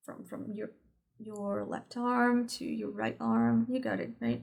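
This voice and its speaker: In a Portuguese accent, a woman speaks at a fairly slow pace. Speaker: spiritual teacher. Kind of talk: tutorial. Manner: halting.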